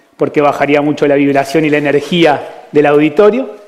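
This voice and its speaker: With an Argentine accent, a man speaks at a fairly high pitch and a moderate pace. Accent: Argentine, joked as Galician. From Argentina. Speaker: physician giving a talk. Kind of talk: conference talk. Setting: stage with audience.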